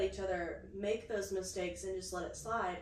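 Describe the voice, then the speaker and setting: Here a woman speaks at a medium pitch and a moderate pace. Noticeable background noise and audible room echo are present. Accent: American. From USA. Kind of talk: casual chat.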